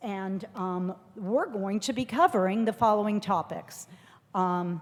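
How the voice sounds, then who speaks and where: A plain, everyday voice speaks at a fairly slow pace with ordinary pitch variation. The recording is very clean, with a silent background. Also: woman, medium pitch for a woman. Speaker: federal agency official presenting policy updates. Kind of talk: conference presentation.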